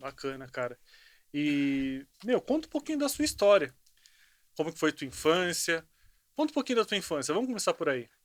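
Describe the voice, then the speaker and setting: A man with a high voice makes very wide pitch swings and takes long, frequent pauses. The sound is dry and close with no echo. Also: moderate pace, very clean recording, silent background. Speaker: podcast host. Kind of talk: interview conversation.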